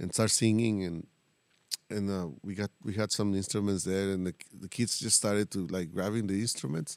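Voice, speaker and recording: A man with a Mexican accent at a moderate pace, in a dry, close sound with no echo. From Tijuana, Mexico. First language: Spanish. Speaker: mariachi musician. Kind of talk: casual interview chat. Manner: halting, hesitant.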